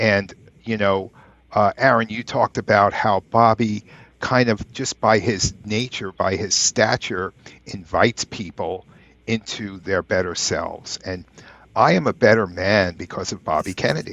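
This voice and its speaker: A man with an ordinary speaking voice talks at a fairly slow pace, his fairly low pitch held in fairly even intonation. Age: 60s. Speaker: podcast co-host. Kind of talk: podcast interview.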